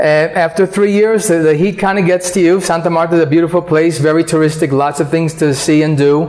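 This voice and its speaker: A high-pitched man with an American accent, at a fairly quick pace with hardly any pauses, fairly even intonation and very even loudness, amid noticeable background noise. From New York, US. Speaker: real estate agent. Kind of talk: interview.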